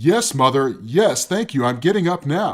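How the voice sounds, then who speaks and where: Using a put-on character voice, a man speaks at a fairly high pitch. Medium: read story.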